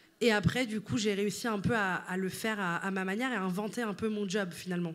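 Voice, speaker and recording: Fairly even intonation accompanies a fairly quick pace. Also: woman, medium pitch for a woman. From Italy. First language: Italian (speaking French). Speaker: writer and content creator. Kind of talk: interview. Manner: halting, many fillers.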